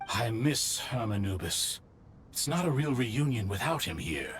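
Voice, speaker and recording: This is a put-on character voice at a moderate pace. Background noise is clear. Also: man, medium pitch for a man. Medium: video game.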